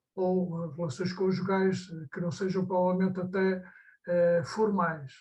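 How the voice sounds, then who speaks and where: The voice is monotone and flat, with audible room echo. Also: man, high pitch for a man, fairly slow pace. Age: 70s. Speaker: audience member. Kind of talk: audience question. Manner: halting.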